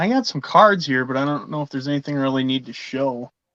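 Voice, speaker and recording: The voice has a bright, sharp tone and ordinary pitch variation, with a Minnesotan accent. The background is quiet. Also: man. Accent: Minnesota. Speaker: sports card collector, live show co-host. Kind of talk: casual chat. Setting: live stream.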